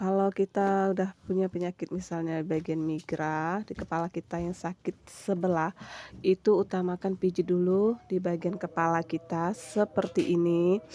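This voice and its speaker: A woman's fairly low, dark, mellow voice with monotone, flat intonation and hardly any pauses, the sound dry and close with no echo. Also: moderate pace. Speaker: massage therapist vlogger. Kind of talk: tutorial. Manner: casual, chatty.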